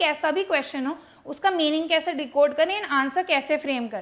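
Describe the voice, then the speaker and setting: Her voice sits high in pitch for a woman, with ordinary pitch variation. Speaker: English teacher. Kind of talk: tutorial. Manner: Hindi-English code-mixing.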